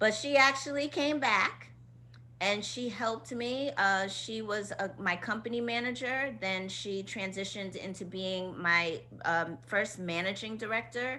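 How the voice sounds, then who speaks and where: Speaking with an American accent, a woman uses a bright, sharp tone at a fairly slow pace with ordinary pitch variation. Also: medium pitch for a woman. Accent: Queens accent, sometimes suppressed. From Queens, New York. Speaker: choreographer and dance company director. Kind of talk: casual interview chat.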